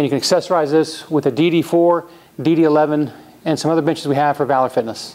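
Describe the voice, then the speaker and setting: The pace is fairly quick. A man talks with fairly even intonation. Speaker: presenter. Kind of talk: product demonstration. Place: gym. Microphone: lapel.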